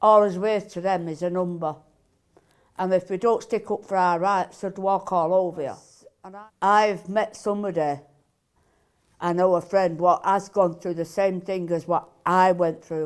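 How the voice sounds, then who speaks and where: The delivery is monotone and flat at a moderate pace, with big swings in loudness. The recording is very clean, with a silent background. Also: woman, medium pitch for a woman. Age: 60s. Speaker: benefit claimant. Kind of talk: interview testimony.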